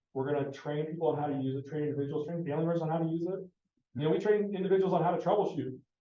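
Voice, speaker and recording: He speaks at a very fast pace. His pitch is fairly high for a man. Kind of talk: presentation to parents. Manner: animated.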